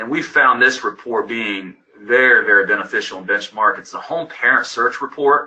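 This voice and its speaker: A man with an unremarkable speaking voice talks at a moderate pace with hardly any pauses, ordinary pitch variation and big swings in loudness. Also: medium pitch for a man. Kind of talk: webinar presentation. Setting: webinar.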